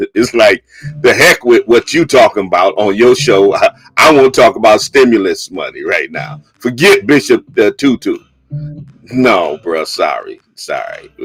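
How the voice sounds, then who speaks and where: Music plays behind a man whose speech moves at a moderate speed. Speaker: bishop and radio/live show host. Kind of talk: live call-in radio talk show. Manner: emphatic, firmly interrupting a caller.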